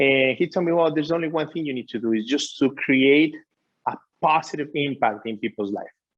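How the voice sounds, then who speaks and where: A man talks at a fairly quick pace with a Spanish accent. His pitch is fairly high, with ordinary pitch variation. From Ecuador. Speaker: author and business coach. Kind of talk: interview.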